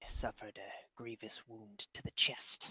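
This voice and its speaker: A man whispering in a put-on character voice at a moderate pace. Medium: actual play. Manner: formal, earnest.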